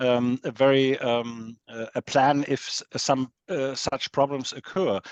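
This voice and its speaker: Captured with a dry, close sound and no echo, a man speaks at a medium pitch with a German accent. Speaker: professor of history of technology. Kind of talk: conference Q&A. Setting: lecture hall with audience. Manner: halting.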